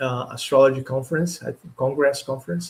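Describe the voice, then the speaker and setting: A man speaks with a Portuguese accent. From Brazil. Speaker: astrologer. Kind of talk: live stream talk. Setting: live stream. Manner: halting.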